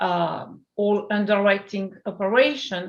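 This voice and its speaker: Very slowly, a woman speaks in a French accent. Her pitch is medium and her intonation fairly even. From France. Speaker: startup CEO. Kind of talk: interview.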